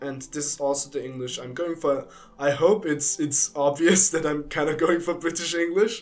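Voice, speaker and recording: A man is speaking. He has a strong German accent. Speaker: youtuber. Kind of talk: casual chat. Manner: rambling, hesitant.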